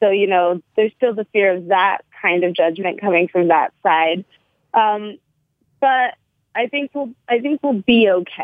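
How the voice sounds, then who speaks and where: A woman's unremarkable speaking voice, medium in pitch, at a fairly slow pace with ordinary pitch variation. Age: 20s. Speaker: actor and retail worker. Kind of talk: casual chat. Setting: phone call.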